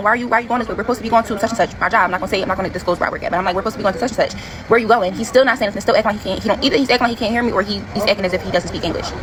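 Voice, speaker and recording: A woman talks at a very fast pace with hardly any pauses. Noticeable background noise sits behind her. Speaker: TikTok storyteller. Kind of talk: storytime monologue. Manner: detailed, rambling.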